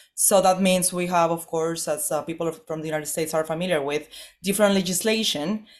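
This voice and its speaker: A woman speaks very fast at a fairly low pitch, her intonation fairly even. The recording is very clean, with a silent background. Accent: Spanish. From northern Mexico, Chihuahua. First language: Spanish. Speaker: political analyst. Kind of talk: interview.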